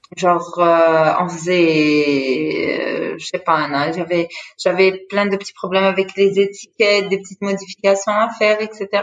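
Speaking at a very slow speed, a woman shows ordinary variation in pitch. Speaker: entrepreneur. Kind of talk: interview. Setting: online interview.

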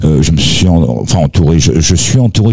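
Amid noticeable background noise, a man with a very deep, low pitch speaks at a moderate pace with very wide pitch swings. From France. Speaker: singer-songwriter. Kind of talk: interview.

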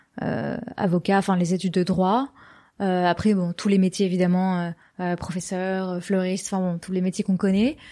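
A woman's medium-pitched voice with a dark, mellow tone, fairly even intonation and a moderate pace, against a quiet background. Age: 20s. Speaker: podcast founder. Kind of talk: interview. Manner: hesitant, many fillers.

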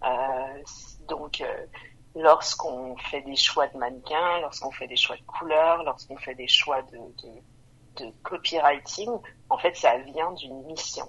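Very slow female speech in a very deep, low voice, with pitch varying in an ordinary way. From Montreal, Quebec. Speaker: brand co-founder. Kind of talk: casual interview.

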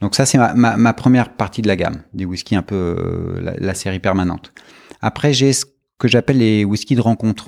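At a moderate pace, a man speaks with a fairly low pitch and ordinary pitch variation, his voice recorded dry and close with no echo. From France, partly Brittany (Brest). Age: 40s. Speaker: whisky producer. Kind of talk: interview. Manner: hesitant, with many fillers and repetitions.

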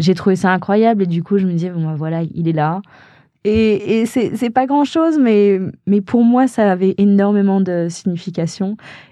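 Against a quiet background, a woman speaks at a fairly slow pace and a medium pitch. Her tone is dark and mellow, with ordinary pitch variation. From France, Haute-Savoie. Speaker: actress and producer. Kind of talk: interview storytelling. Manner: hesitant, many fillers.

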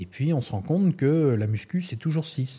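A man's somewhat breathy voice with a dark, mellow tone and lively intonation, in a very clean recording with a silent background. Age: 50s. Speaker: sports coach and university lecturer. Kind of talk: casual interview.

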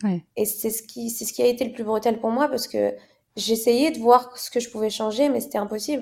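A woman talks at a fairly quick pace in an unremarkable speaking voice, fairly high and fairly even in intonation. Her loudness swings widely. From Morocco. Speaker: fashion model. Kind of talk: interview conversation.

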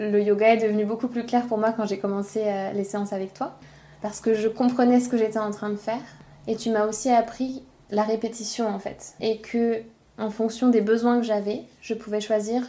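A woman's fairly high voice stays monotone, with flat intonation. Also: moderate pace. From France. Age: 20s. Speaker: school childcare coordinator. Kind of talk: casual chat.

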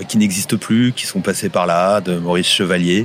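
A man talks with fairly even intonation. Music plays in the background. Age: 40s. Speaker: local guide on a city walk. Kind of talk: casual guided walk commentary.

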